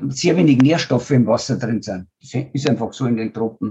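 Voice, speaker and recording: Ordinary pitch variation in a man's dark, mellow, somewhat breathy voice. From rural German-speaking region (village). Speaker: biogas entrepreneur and NGO founder. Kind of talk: interview.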